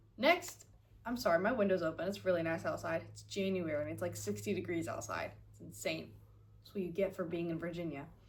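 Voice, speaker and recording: A woman talks at a fairly quick pace. Room echo is audible. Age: 20s. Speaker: vlogger. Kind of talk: casual chat. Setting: at home with window open. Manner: casual, filler-heavy.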